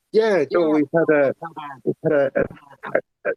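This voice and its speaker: A man with an Irish accent at a fairly slow pace. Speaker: community manager. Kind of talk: casual chat. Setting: online audio space.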